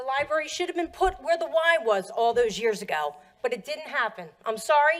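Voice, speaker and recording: In a raised, projected voice, a woman with a Philadelphia accent speaks at a moderate pace with very wide pitch swings. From US Northeast, Pennsylvania. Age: 50s. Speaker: public commenter. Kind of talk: public comment. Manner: animated.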